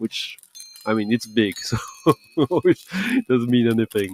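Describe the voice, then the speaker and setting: Heard close and dry with no echo, a man with a French accent speaks in a relaxed tone at a moderate pace, with a medium pitch and lively intonation. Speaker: DJ streamer playing records. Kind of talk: casual live stream chat. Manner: relaxed, hesitant with fillers.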